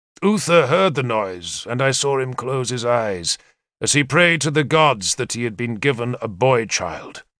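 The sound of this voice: Ordinary pitch variation in an unforced reading voice, the background quiet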